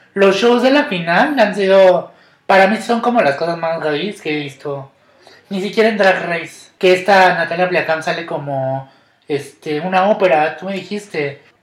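A man with a high pitch speaks at a moderate pace, with ordinary pitch variation. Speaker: podcast host. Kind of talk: casual chat. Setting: recording at home.

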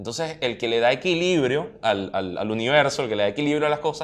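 Delivered at a fairly quick pace with a Venezuelan accent, the speech has lively intonation. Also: man. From Venezuela, Charallave. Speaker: comics enthusiast guest. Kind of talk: casual conversation.

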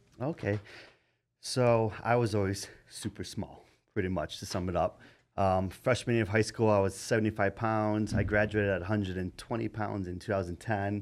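Fairly low in pitch, a man speaks at a moderate pace with fairly even intonation in an unremarkable speaking voice. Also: very clean recording, silent background. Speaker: bodybuilder and coach. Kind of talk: casual chat.

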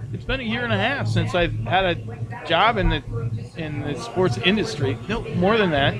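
A man talks at a moderate pace with a fairly high pitch and very wide pitch swings over noticeable background noise. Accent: American. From Minnesota. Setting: bar lounge.

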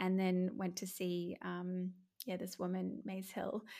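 A woman speaks at a very slow pace in an Australian accent, with monotone, flat intonation. The recording is very clean, with a silent background. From Brisbane, Australia. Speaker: empowerment coach and personal trainer. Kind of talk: casual interview chat.

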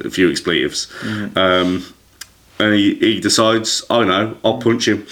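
Noticeable background noise runs behind speech that unfolds fairly slowly. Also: man. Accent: English. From England. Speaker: podcast host. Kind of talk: casual chat.

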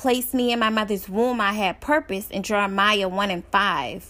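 A bright, sharp tone with an American accent on a very clean recording with a silent background. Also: woman. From Dallas, Texas. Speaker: author and public speaker. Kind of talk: testimony.

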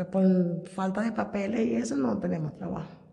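A woman at a medium pitch and a fairly slow pace, with noticeable background noise and audible room echo. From Venezuela, Coro (Falcón state). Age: 50s. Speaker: migrant seamstress. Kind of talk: testimony.

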